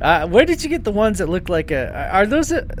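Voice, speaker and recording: A man speaks at a very fast pace in a playful tone. Noticeable background noise is audible. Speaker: podcast host. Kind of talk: casual comedic chat, riffing on a movie-riffing show. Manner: playful, joking, banter.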